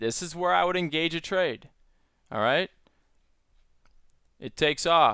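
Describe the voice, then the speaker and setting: The man's voice has a fairly high pitch and a bright, sharp tone. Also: dry, close sound with no echo, very clean recording, silent background. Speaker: stock trader and trading educator. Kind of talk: screen-share tutorial. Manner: casual.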